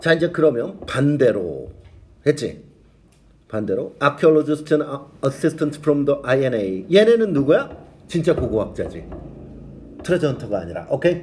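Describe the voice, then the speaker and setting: Speaking at a fairly slow pace with long, frequent pauses, a man with a fairly high pitch and vocal fry uses lively intonation and an animated tone. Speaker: English teacher. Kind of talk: lecture. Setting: classroom with students.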